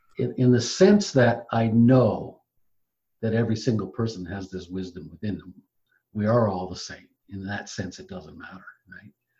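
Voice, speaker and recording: A man's dark, mellow, somewhat breathy voice at medium pitch and a moderate pace, with ordinary pitch variation and big swings in loudness. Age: 70s. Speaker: spiritual teacher. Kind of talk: casual chat.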